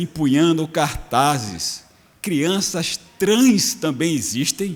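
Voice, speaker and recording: Lively in intonation, a man with a fairly high pitch speaks at a very slow pace. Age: 60s. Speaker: state legislator. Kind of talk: parliamentary speech. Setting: legislative chamber.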